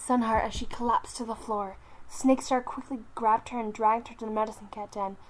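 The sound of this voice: An unforced reading voice, fairly even intonation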